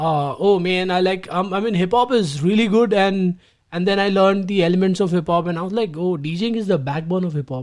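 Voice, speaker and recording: A man's high-pitched voice keeps a fairly quick pace and shows ordinary pitch variation. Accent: Indian. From India, Gujarat. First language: Gujarati. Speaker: DJ. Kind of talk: interview. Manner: hesitant, many fillers.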